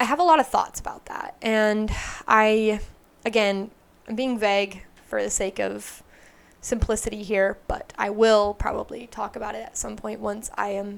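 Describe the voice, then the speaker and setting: Recorded very cleanly against a silent background, a woman speaks at a fairly slow pace in a medium pitch. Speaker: tarot reader and spiritual content creator. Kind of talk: casual talk to camera. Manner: halting, searching for words.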